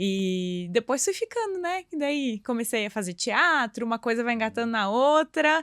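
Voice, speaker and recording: On a very clean recording with a silent background and a dry, close sound with no echo, a woman speaks at a moderate pace and fairly high pitch with very wide pitch swings and hardly any pauses. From southern Brazil, Santa Catarina (Blumenau). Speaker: yoga teacher and school founder. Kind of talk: podcast interview.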